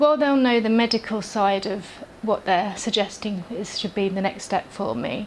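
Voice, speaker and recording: Noticeable background noise runs through the clip. The woman's voice sits at a medium pitch. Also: ordinary pitch variation, moderate pace. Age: 30s. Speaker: patient. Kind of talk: testimony.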